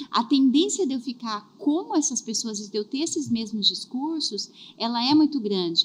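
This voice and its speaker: A woman speaks at a moderate pace in a high pitch. Her intonation is lively. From southern Brazil. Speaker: career and HR specialist. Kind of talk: podcast interview.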